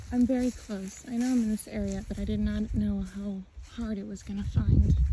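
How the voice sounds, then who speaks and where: A quiet voice at a moderate pace, with noticeable background noise. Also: woman. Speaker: true crime youtuber. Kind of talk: on-location vlog. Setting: outdoors on a trail.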